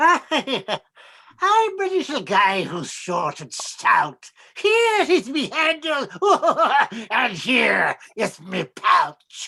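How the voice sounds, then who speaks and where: Someone performs a put-on character voice at a high pitch and a very slow pace. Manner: giggling, sly.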